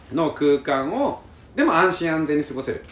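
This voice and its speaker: Noticeable background noise sits under a man who speaks at a moderate pace, his pitch varying in an ordinary way. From Japan, Karatsu, Saga (Kyushu). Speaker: company head running island campsites. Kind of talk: casual interview chat. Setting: on location at a campsite in Fukuoka.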